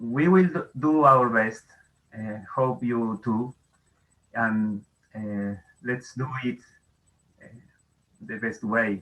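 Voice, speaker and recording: A man's medium-pitched voice in a non-native accent, very slow, with ordinary pitch variation and long, frequent pauses. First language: Spanish. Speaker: astronomy educator. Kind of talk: conference talk. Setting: video call. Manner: halting.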